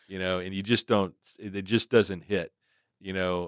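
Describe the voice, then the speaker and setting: A man in a normal speaking voice, fairly low-pitched at a moderate pace, dry and close with no echo on a very clean recording with a silent background. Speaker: podcast host, insurance professional. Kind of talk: casual podcast interview host.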